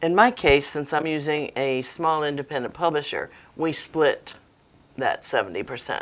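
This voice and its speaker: A woman's very deep, low voice with ordinary pitch variation. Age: 70s. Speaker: author. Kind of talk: interview.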